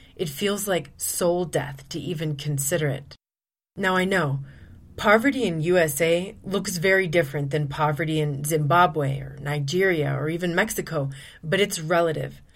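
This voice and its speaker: Amid audible room echo, a woman with a very deep, low pitch speaks at a moderate pace with ordinary pitch variation. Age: 40s. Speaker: podcast host, abuse recovery coach. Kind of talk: solo podcast monologue.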